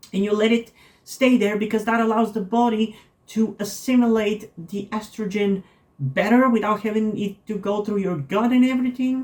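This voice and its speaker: A woman with a non-native accent, fairly high pitch, moderate pace and fairly even intonation. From non-English-speaking country. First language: not English. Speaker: vlogger. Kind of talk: personal vlog monologue. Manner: halting, many fillers.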